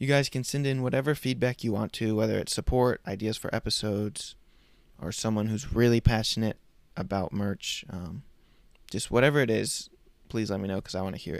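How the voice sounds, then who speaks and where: Here a man talks at a fairly quick pace in a medium pitch, with ordinary pitch variation. The recording is very clean with a silent background. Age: 20s. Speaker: podcast host. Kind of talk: casual monologue; gospel presentation. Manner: casual with fillers.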